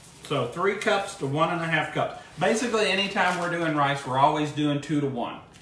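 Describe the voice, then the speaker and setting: A man with a fairly high voice talks at a fairly quick pace with ordinary pitch variation. Noticeable background noise and audible room echo surround him. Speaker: cooking show host, former cooking class teacher. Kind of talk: cooking tutorial. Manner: loud. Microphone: no microphone worn, echo.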